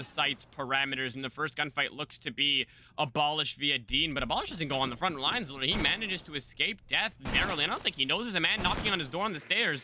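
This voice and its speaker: Over noticeable background noise, a man talks at a very fast pace in a fairly high pitch, his tone animated and his intonation lively. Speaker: esports caster. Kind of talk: live commentary. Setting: live stream.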